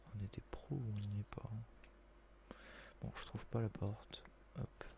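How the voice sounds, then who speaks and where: At a very slow pace, a soft-spoken man talks. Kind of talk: casual gameplay commentary.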